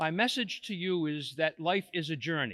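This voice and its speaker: This man has a high voice with a bright, sharp tone, captured in a very clean recording with a silent background. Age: 70s. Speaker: school committee chairman. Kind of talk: graduation speech.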